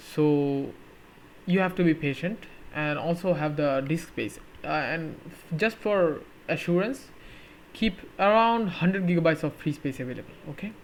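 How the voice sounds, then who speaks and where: A man speaks at a high pitch. His voice has ordinary pitch variation. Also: moderate pace. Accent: non-native. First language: not English. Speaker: tech YouTuber. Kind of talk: tutorial. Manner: halting, with fillers.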